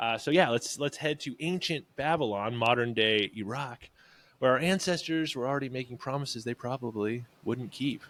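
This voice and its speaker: A man talks at a medium pitch with ordinary pitch variation, recorded very cleanly against a silent background. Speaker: podcast co-host, food entrepreneur. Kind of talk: casual chat. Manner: slow while searching for sound clips.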